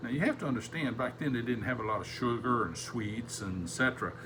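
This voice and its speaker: A man speaks at a medium pitch. Both room echo and background noise can be heard. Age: 70s. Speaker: Sunday school teacher. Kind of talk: Bible lesson.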